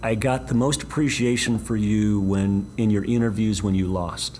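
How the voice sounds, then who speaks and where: A man with a fairly low voice speaks at a moderate pace with ordinary pitch variation, and background noise is noticeable. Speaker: university athletic director and podcast host. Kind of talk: interview.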